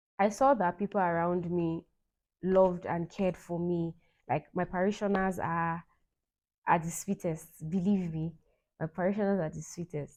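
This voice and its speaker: A woman with a fairly low pitch speaks at a moderate pace, leaving long, frequent pauses, against a quiet background. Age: young. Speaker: vlogger. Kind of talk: personal vlog monologue. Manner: animated.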